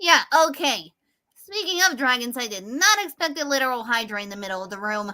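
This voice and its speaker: A female-sounding put-on character voice, high-pitched and at a fairly quick pace. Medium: game stream. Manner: teasing, laughing.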